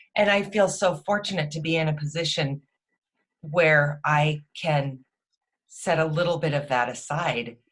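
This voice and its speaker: Slow-paced, with long and frequent pauses, a woman speaks at a very deep, low pitch, somewhat breathy and with ordinary pitch variation. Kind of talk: interview host conversation.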